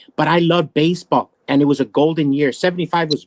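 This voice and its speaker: A man speaks at a fairly quick pace in a plain, everyday voice, fairly high in pitch, with an American accent and ordinary pitch variation. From Arizona (Yuma), Mexican American. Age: 50s. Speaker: political talk show host. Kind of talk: casual chat.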